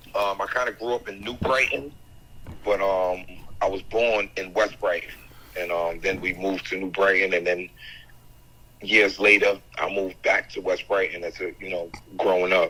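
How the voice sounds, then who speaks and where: A man speaks at a moderate pace in a fairly low voice with a New York accent. His intonation stays fairly even, broken by long, frequent pauses. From Staten Island, New York. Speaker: rapper. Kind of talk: casual interview.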